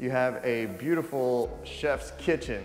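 Faint music plays behind a man as he talks. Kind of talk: home tour commentary. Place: home room.

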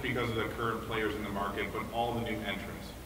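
A man with a medium-pitched voice talks at a very fast pace over noticeable background noise. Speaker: automotive product planner. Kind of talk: product presentation. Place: hall. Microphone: camera far.

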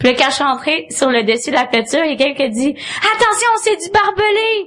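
A woman speaks fairly quickly, her pitch swinging very widely, amid noticeable background noise. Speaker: comedian. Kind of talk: casual chat.

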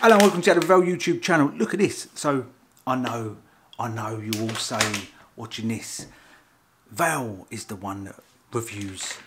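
Long, frequent pauses break up a man's moderate pace while noticeable background noise plays behind him. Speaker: food reviewer. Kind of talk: casual vlog chat. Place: kitchen. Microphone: phone near.

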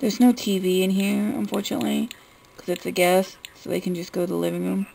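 A woman is speaking here. Her pace is moderate. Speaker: gaming YouTuber. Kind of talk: game house tour commentary. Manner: quiet, not loud. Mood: relaxed, mildly frustrated. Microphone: phone near.

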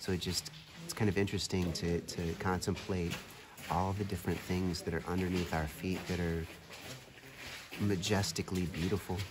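With noticeable background noise behind him, a man speaks at a moderate pace in a very deep, low, monotone, flat voice, pausing long and often. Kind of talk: reflective casual vlog narration. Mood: calm, contemplative. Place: tunnel cave. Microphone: phone near.

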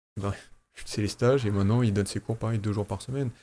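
A man's fairly low voice with a dark, mellow tone and fairly even intonation. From France. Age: 40s. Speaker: aikido teacher. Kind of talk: casual chat. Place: studio. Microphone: studio mic.

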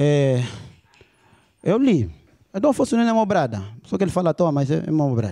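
A dark, mellow voice with very wide pitch swings, spoken at a fairly quick pace. The background is quiet. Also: man. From Angola. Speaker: stand-up comedian. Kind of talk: stand-up comedy. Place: stage. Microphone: handheld.

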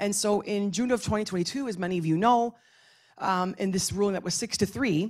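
A woman with a normal speaking voice and medium pitch talks at a moderate pace with ordinary pitch variation, recorded very cleanly against a silent background. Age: 40s. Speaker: professor. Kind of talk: panel discussion.

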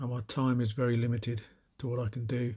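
Speaking at a moderate pace, a man with a medium pitch sounds somewhat breathy, his intonation monotone and flat. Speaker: miniature painting hobbyist. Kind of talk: casual show-and-tell video. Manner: hesitant with many fillers.

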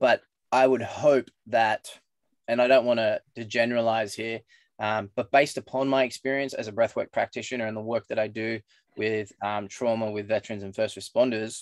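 Over a quiet background, a man speaks at a moderate pace in monotone, flat intonation, with a dry sound and no echo. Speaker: guest. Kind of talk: interview answer. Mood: earnest, reflective. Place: home room. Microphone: video call.

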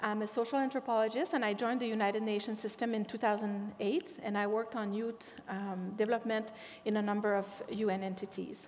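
A woman with a French accent speaks at a fairly quick pace in a fairly high pitch, her intonation fairly even, over light background noise. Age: 50s. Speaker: invited expert speaker. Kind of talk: lecture. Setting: stage with audience. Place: stage. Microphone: podium.

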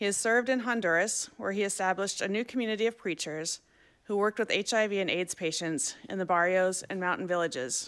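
Over a quiet background, a woman talks at a fairly quick pace. Her pitch variation is ordinary. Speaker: event moderator. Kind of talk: formal introduction and Q&A moderation. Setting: stage with audience, live-streamed. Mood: warm, welcoming. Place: hall. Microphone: podium.

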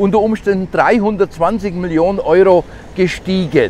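Light background noise accompanies speech at a moderate pace with ordinary pitch variation and a dry sound with no echo. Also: man. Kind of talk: political rant vlog. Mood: indignant, agitated. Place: street. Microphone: lapel.

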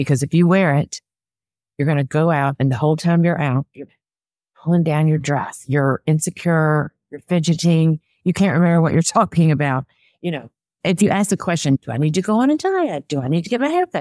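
In a Southern US accent, a woman with a very deep, low pitch and a dark, mellow tone talks at a fairly quick pace with ordinary pitch variation, the sound dry with no echo and the background quiet. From US South. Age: 60s. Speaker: personal stylist. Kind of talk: interview. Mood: upbeat, animated. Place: home room. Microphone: webcam.

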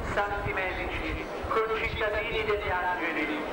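Crowd noise fills the background, and the room echo is audible. A man speaks at a very slow pace. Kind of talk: litany prayer. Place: street.

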